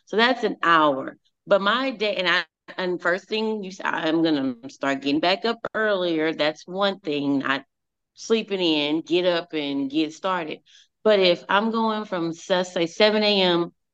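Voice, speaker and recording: An unremarkable speaking voice moves at a fairly slow pace with lively intonation over a quiet background. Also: woman, medium pitch for a woman. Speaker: teacher and speaker. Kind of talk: casual chat. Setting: video call.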